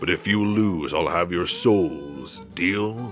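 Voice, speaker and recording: With clear music in the background, a man uses a booming, put-on character voice at a fairly slow pace. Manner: menacing, toothy grin.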